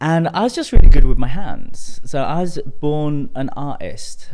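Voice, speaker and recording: A man with a British accent, moderate pace and lively intonation. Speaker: tantra coach. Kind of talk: podcast interview.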